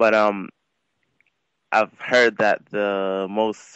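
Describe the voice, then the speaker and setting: This man has a fairly low voice and an American accent. His intonation is monotone and flat. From Queens, New York. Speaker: caller, amateur fighter. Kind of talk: phone-in question. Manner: halting.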